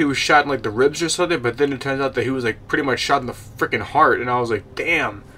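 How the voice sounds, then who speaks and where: A man talks at a medium pitch. Background noise is noticeable. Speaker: gaming YouTuber. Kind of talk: casual video game review. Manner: fast; halting, many fillers and repeats.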